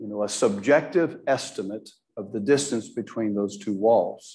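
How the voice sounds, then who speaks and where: A man speaks at a fairly slow pace with a dark, mellow tone and lively intonation. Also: quiet background. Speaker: Bible class teacher. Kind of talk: lecture. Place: church. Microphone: lapel.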